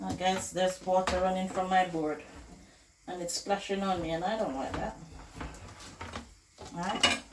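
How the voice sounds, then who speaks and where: Medium-pitched speech from a woman at a moderate pace, fairly even in intonation, with long, frequent pauses and noticeable background noise. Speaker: cooking vlogger. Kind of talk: cooking tutorial, casual chat.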